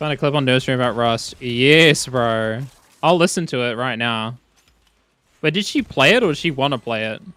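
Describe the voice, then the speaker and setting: Over music in the background, a man talks at a moderate pace with a medium pitch. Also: ordinary pitch variation. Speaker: live streamer. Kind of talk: casual gaming livestream chat.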